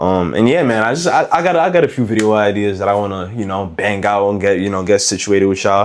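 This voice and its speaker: The man talks at a very fast pace. His pitch is fairly low, with ordinary variation. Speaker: gun review youtuber. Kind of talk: casual vlog review. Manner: halting, repetitive.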